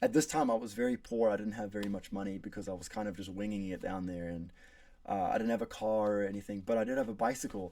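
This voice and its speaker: Speaking very fast, a man with an American accent has a fairly low pitch and a dark, mellow tone. His intonation is fairly even, and the recording is very clean with a silent background. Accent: pretty American. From South Africa. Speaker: college student. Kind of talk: class speech.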